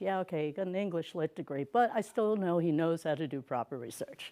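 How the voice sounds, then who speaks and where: A woman's fairly low voice with a dark, mellow tone, on a very clean recording with a silent background. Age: 70s. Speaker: drinks historian. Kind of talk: conference talk.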